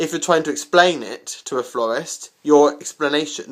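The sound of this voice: A man's fairly bright tone with fairly even intonation.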